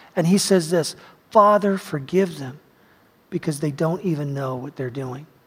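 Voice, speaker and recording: In an unremarkable speaking voice, a man talks at a moderate pace with fairly high pitch, ordinary pitch variation and big swings in loudness. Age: 50s. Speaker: pastor. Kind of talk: sermon. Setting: church.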